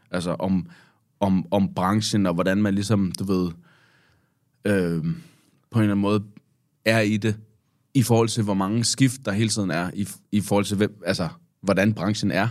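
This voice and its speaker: Long, frequent pauses break up speech with fairly even intonation on a very clean recording with a silent background. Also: man, fairly low pitch for a man. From Denmark. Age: 30s. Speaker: hip-hop artist. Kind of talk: casual chat. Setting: studio. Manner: halting.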